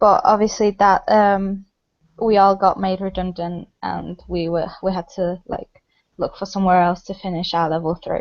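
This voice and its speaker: The pace stays moderate. Every line comes out in monotone, flat intonation. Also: woman, medium pitch for a woman. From Poland. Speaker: apprentice. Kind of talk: interview.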